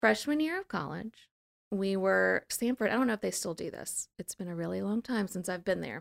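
A woman's plain, everyday voice, medium pitch, lively intonation, a fairly quick pace, and a dry, close sound with no echo. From US South, New Orleans. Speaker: school founder and educator. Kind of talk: casual interview.

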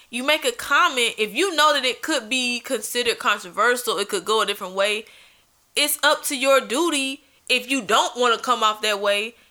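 A woman's high-pitched, bright, sharp voice moves at a moderate pace with ordinary pitch variation. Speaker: podcast co-host. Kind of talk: casual chat.

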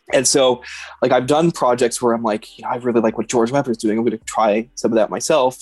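With a Canadian accent, a man speaks in a normal speaking voice at medium pitch and a fairly quick pace, the sound dry and close with no echo. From Canada, Edmonton. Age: 30s. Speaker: photojournalist. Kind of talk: casual chat.

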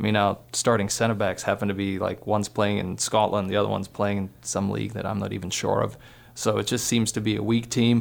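A man talks very fast in a fairly low pitch, his intonation monotone and flat with vocal fry. The recording is very clean, with a silent background. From Poland, later Australia. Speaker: college soccer head coach. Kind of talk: casual sports analysis chat. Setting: radio studio.

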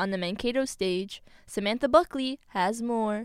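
This woman has a plain, everyday voice, fairly high in pitch, with lively intonation. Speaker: news anchor. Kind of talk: news reading. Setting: studio. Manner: formal, crisp, measured.

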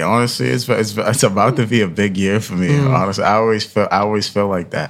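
At a fairly quick pace, a man with a fairly low pitch and ordinary pitch variation speaks over noticeable background noise. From Ghana, then Queens New York. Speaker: student and musician. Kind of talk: casual interview chat. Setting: studio. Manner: relaxed, conversational.

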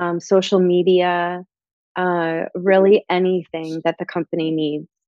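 A woman with an American accent talks slowly in a fairly low pitch, her intonation flat and monotone. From Michigan. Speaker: language teacher and tutoring business owner. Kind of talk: interview.

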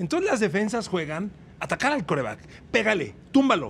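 With a Mexican accent, a man speaks at a fairly quick pace, his pitch swinging very widely. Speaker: veteran sports journalist. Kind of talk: casual interview chat.

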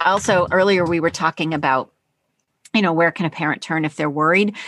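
A plain, everyday voice speaks at a fairly quick pace with ordinary pitch variation. The recording is dry and close with no echo, against a quiet background. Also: woman. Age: 50s. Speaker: teacher and author. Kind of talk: interview.

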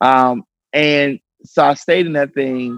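The sound is close and dry, without any echo. A man talks. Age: young. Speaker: pastor. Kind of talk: casual chat. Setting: studio.

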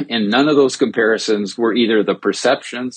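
A man speaks with an American accent at a medium pitch. His intonation stays fairly even. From Minnesota. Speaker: sociologist and research director. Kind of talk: panel discussion. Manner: halting.

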